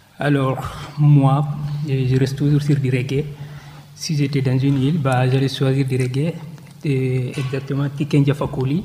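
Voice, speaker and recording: Over noticeable background noise, a man with a fairly high voice speaks fairly slowly in a flat monotone, leaving long, frequent pauses. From Guinea. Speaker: interviewee. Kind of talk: interview.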